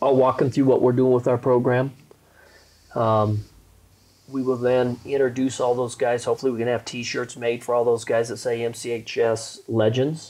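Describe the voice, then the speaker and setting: An American-accented man speaks at a moderate pace in a dark, mellow tone, his intonation monotone and flat. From Colorado. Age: 50s. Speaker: basketball coach. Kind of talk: casual chat. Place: home room. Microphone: lapel.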